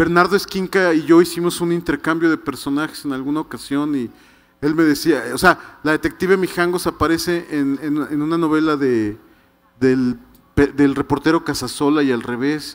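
The speech moves at a moderate pace. The intonation is fairly even. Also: man, fairly high pitch for a man. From Mexico City. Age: 50s. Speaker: writer. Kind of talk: book presentation talk. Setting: stage with audience. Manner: halting, many repetitions. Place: stage. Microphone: handheld.

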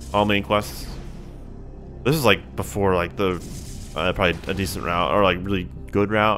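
Speech at a moderate pace, with clear music in the background. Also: man. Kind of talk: casual stream chat with viewers. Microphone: studio mic.

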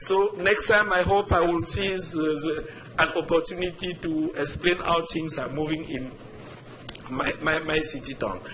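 Amid audible room echo and noticeable background noise, a man speaks at a fairly slow pace in a fairly high pitch with ordinary pitch variation. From Africa. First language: not English. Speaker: resident speaking at public comment. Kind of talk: public comment at council meeting. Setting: town council meeting. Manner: halting, many repetitions.

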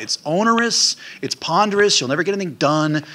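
A man's fast, bright, sharp voice with lively intonation

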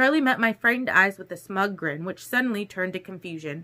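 It is an unforced reading voice with lively intonation.

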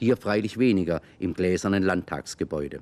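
A man speaks at a moderate pace with a very deep, low pitch, a warm tone and lively intonation. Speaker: aerial tour narrator. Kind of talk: 1960s German documentary narration, scripted aerial city tour. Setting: aerial footage voice-over. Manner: chatty, warm, folksy, lightly humorous, guiding viewers like a friendly tour guide; measured, clear, conversational pace with Swabian-flavored colloquial asides. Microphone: old recording.

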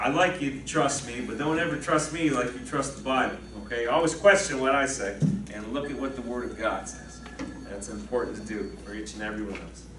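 Lively intonation marks this man's fairly quick delivery, heard with audible room echo and light background noise. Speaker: pastor. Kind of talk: sermon. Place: church.

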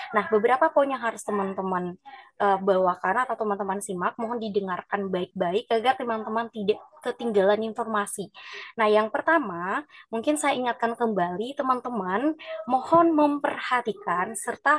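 A woman's normal speaking voice, fairly high in pitch, with lively intonation, a moderate pace and a dry sound with no echo. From Nias, North Sumatra. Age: 20s. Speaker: university student liaison officer. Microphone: video call.

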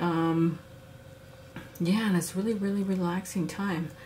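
Moderate-paced speech from a woman with a fairly low pitch. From Saskatchewan, Canada. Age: 40s. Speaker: beadwork and sewing instructor, activist. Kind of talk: tutorial. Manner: casual, halting with fillers.

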